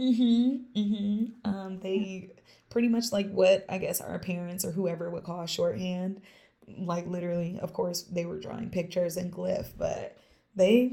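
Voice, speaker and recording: Somewhat breathy and dark, mellow in tone, a woman speaks at a medium pitch and a fairly slow pace. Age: 30s. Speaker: small business owner and karate teacher. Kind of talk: casual chat. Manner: animated.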